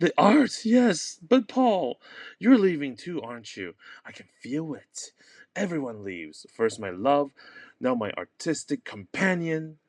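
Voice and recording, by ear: In a put-on character voice, a man talks at a fairly slow pace, fairly high-pitched and slightly mellow, with big pitch swings.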